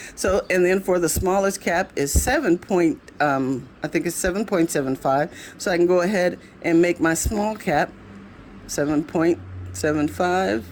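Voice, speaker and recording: A woman at a fairly slow pace in an unremarkable speaking voice, with very even loudness and ordinary pitch variation. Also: fairly low pitch for a woman. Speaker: craft tutorial maker. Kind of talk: tutorial.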